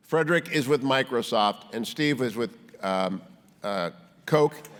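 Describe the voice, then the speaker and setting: A plain, everyday voice from a man, medium in pitch, with lively intonation at a fairly slow pace. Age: 60s. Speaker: panel moderator. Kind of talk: panel moderation.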